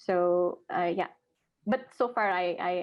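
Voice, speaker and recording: A woman speaks in a fairly low voice with a Nepali accent. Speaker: social sciences researcher. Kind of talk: podcast interview. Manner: hesitant, many fillers.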